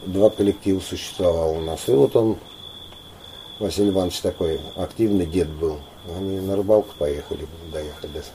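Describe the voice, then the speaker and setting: Speaking at a moderate pace with ordinary pitch variation, a man with a very deep, low pitch takes long, frequent pauses over noticeable background noise. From Volgograd region, Don Cossack area. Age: 50s. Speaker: folk ensemble leader and teacher. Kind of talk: interview.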